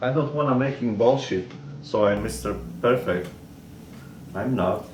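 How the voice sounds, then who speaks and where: A Polish accent at a moderate pace, with ordinary pitch variation and audible room echo. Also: man, medium pitch for a man. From Poland. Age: 60s. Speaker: gun hobbyist vlogger. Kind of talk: casual tutorial. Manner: halting.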